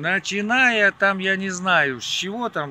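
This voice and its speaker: A raised, projected voice speaks at a fairly slow pace. The sound is dry with no echo, with light background noise. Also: man. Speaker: interviewee. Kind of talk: interview answer. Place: waterside. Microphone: phone near.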